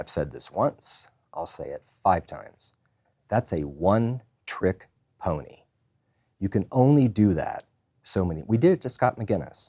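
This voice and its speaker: With an American accent, a man speaks at a fairly slow pace with long, frequent pauses, his medium-pitched voice dark and mellow with vocal fry, very wide pitch swings and big shifts in loudness, all in a dry, close sound with no echo. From Colorado. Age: 50s. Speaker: political strategist. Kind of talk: casual debate.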